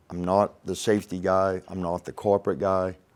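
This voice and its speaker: At a fairly slow pace, a man with a very deep, low pitch speaks in a Maine accent on a very clean recording with a silent background. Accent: Maine, New England accent; others tease it. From Maine, US. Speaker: crane and rigging instructor, former ironworker. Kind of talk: podcast interview. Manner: animated.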